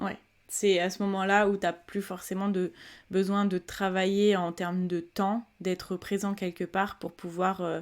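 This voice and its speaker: A woman's medium-pitched, monotone, flat voice at a fairly slow pace, on a very clean recording with a silent background. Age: 20s. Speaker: podcast host. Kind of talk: casual interview. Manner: hesitant, many fillers.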